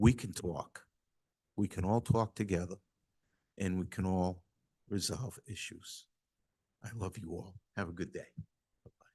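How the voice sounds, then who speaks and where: A man's fairly low, dark, mellow, somewhat breathy voice at a moderate pace, with fairly even intonation, big swings in loudness, and long, frequent pauses. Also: dry, close sound with no echo. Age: 60s. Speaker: school committee member. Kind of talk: public comment at town council meeting. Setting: town council meeting hall.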